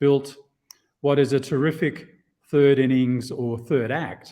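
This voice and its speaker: A man with a slight Australian accent speaks at a fairly slow pace in a dark, mellow tone. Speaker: insurance executive. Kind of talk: podcast interview. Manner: halting, with many repetitions.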